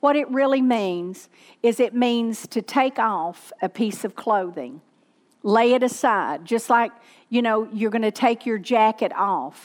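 On a very clean recording with a silent background, a woman speaks at a fairly slow pace with a fairly high pitch. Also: ordinary pitch variation. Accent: Southern US. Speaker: pastor. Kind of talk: sermon. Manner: animated.

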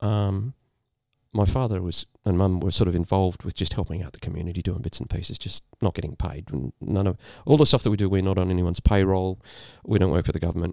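A man with an Australian accent speaks very fast in a very deep, low voice with a dark, mellow tone. The sound is dry and close with no echo, on a very clean recording with a silent background. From rural New South Wales, Australia. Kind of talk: casual chat.

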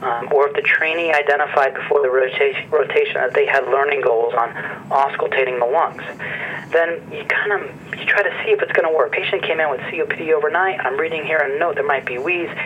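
Noticeable noise fills the background. A man delivers his words at a fairly quick pace. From northeastern central Pennsylvania. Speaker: medical professor. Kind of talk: interview. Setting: phone call. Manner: hesitant, many fillers.

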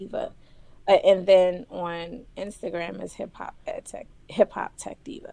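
A woman at a fairly slow pace, with big swings in loudness. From Philadelphia. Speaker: esports advocate and educator. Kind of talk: casual interview.

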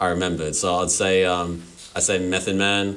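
Very deep and low, this man's voice carries an Australian accent and a bright, sharp tone. He speaks at a fairly slow pace with monotone, flat intonation. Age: 20s. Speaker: podcast host. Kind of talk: casual chat.

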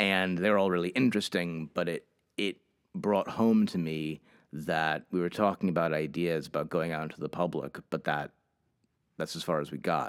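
A man's very deep, low voice in a New England accent, at a moderate pace with fairly even intonation. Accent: New England American. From Hartford, Connecticut. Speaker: museum education director. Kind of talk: interview.

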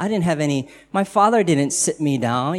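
At a moderate pace, a man speaks in an unremarkable speaking voice, fairly high in pitch for a man, with ordinary pitch variation. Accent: American. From United States. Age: 40s. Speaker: guest speaker sharing his faith story. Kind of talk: testimony. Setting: church gathering with audience.

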